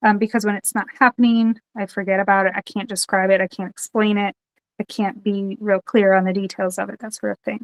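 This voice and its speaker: A woman at medium pitch talks fairly quickly in a monotone, flat intonation. The sound is dry and close with no echo. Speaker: podcast co-host. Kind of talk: casual chat.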